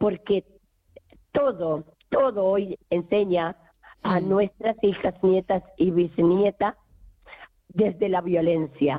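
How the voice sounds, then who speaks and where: At a very slow pace with long, frequent pauses, a woman of medium pitch speaks with ordinary pitch variation and very even loudness. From rural Argentina. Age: 50s. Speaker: feminist activist. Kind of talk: testimony. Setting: phone call.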